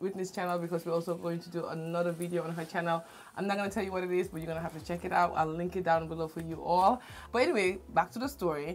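Over light background noise, a woman speaks very fast with fairly even intonation. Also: fairly low pitch for a woman. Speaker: channel host. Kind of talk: casual vlog chat. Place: home room.

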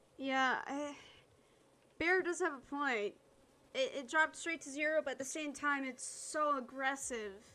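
Raising and projecting her voice, a woman speaks fairly slowly in a high pitch with a bright, sharp tone. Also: ordinary pitch variation. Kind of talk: casual chat. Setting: online multiplayer game stream.

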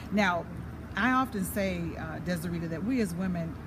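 With an American accent, a woman speaks over noticeable background noise. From California, US. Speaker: motivational speaker and show host. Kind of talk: casual interview. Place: garden. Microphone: phone near.

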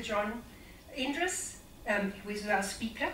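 The recording carries light background noise and audible room echo. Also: woman. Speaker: investment company representative; event host introducing speaker. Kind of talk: speaker introduction. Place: hall. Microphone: amateur recording by an attendee, poor sound; camera far.

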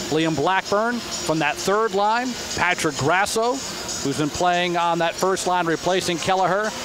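An excited man with high pitch and ordinary pitch variation speaks with hardly any pauses at very even loudness. Noticeable background noise is present. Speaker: radio play-by-play announcer. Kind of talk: live sports play-by-play commentary. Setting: arena broadcast booth. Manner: rapid-fire, excited on goals.

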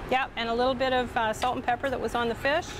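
Over clear background noise, a woman speaks fast at a fairly high pitch with little pitch movement.

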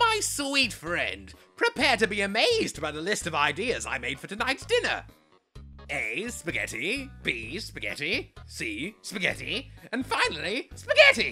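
A put-on character voice moves at a moderate pace while faint music plays in the background. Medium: fan dub. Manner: loud, enthusiastic, theatrical.

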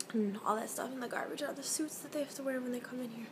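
Noticeable background noise sits behind a woman's voice. She speaks with fairly even intonation. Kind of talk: casual vlog chat. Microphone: phone near.

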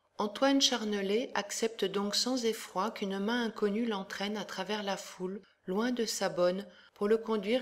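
Her pitch sits in the medium range for a woman. She speaks at a fairly slow pace with monotone, flat intonation. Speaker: educational presenter. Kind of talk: audiobook-style literary reading of a novel extract, after a lecture-like presentation. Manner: measured, steady and expressive, with even literary diction; clear and formal, like a teacher.

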